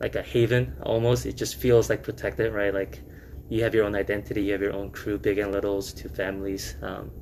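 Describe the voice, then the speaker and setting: With a Korean accent, a man talks at a fairly quick pace, his fairly low voice carrying lively intonation. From South Korea, then New York (Queens). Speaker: restaurant founder, alumnus. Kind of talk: casual podcast interview. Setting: podcast recording. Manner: casual, filler-heavy.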